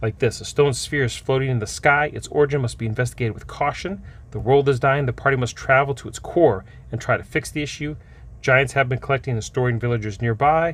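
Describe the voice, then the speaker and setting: A man speaks at a very fast pace in a somewhat breathy, medium-pitched voice with ordinary pitch variation. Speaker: game store owner reviewing tabletop books. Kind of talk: product review.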